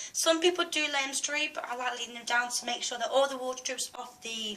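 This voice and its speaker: Against noticeable background noise, a woman with a British accent speaks in a raised, projected voice at a high pitch and a moderate pace. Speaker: beauty vlogger. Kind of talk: tutorial. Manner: hesitant, many fillers.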